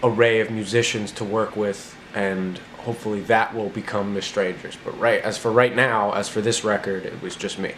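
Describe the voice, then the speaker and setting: A man with an American accent, monotone and flat in intonation, over noticeable background noise. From New Jersey (north). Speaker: singer-songwriter. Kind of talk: interview answers. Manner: casual, halting with fillers.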